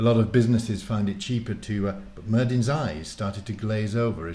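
This unforced reading voice keeps its intonation fairly level.

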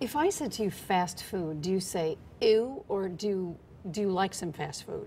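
A woman's somewhat breathy voice at medium pitch, dark and mellow in tone, with lively intonation, a fairly slow pace and light background noise. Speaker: TV news interviewer. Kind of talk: TV interview. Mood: relaxed, curious. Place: studio. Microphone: lapel.

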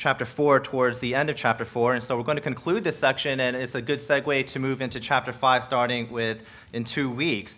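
The voice is bright and sharp, moving at a moderate pace with hardly any pauses and fairly even intonation. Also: man. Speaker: pastor. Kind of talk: sermon. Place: church. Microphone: podium.

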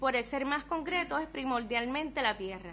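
Here a woman speaks with a high pitch. Her voice is raised and projected. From Puerto Rico. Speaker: ethnographer researcher; presenter. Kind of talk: reading a paper aloud. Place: meeting room. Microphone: podium.

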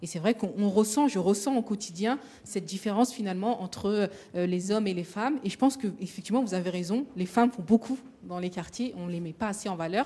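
The woman talks fairly quickly, and her pitch varies in an ordinary way. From Paris suburbs, Seine-Saint-Denis; Paris. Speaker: association founder and moderator; moderator. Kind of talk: roundtable discussion. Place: hall. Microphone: handheld.

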